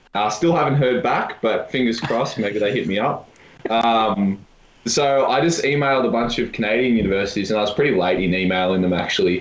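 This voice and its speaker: A medium-pitched man with an American accent talks at a fairly quick pace with ordinary pitch variation and very even loudness, in audible room echo. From Australia, Melbourne. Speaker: university volleyball player. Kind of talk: casual chat.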